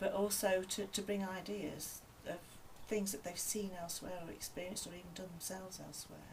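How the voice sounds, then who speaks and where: A woman talks at a fairly quick pace in a monotone, flat intonation, with big swings in loudness. Audible room echo and noticeable background noise fill the recording. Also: medium pitch for a woman. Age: 60s. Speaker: piano and maths teacher. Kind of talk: interview.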